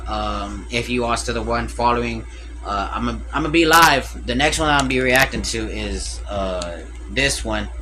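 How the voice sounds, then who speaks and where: Music in the background and audible room echo around a man's voice. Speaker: reaction streamer. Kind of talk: live stream reaction commentary. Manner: loud; casual, hesitant with fillers.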